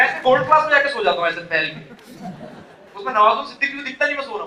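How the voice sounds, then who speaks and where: A man with an extremely high pitch talks in a raised, projected voice at a very fast pace, with lively intonation and big swings in loudness, against audible room echo and noticeable background noise. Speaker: motivational speaker. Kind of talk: motivational speech. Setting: stage with audience. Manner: animated.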